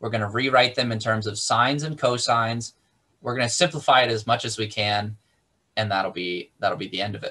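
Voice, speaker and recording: A man talks at a fairly quick pace. His pitch varies in an ordinary way over a quiet background. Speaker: math instructor. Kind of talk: lecture. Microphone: video call.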